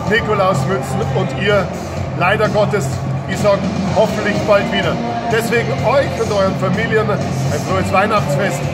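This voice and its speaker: A man at a fairly slow pace with long, frequent pauses, over loud music in the background. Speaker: stadium announcer. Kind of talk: casual Christmas greeting to camera. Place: stadium. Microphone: phone near.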